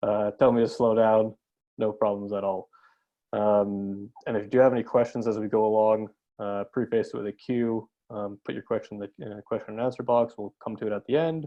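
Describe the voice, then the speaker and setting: A man speaks with big swings in loudness, his pitch fairly low. His pace is fairly quick and his intonation fairly even. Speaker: webinar host. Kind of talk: live webinar introduction. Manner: fast.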